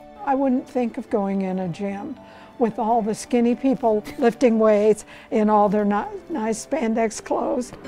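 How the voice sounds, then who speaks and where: A woman's fairly high voice at a fairly slow pace, with ordinary pitch variation and music in the background. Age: 80s+. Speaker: senior weightlifter. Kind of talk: interview answer.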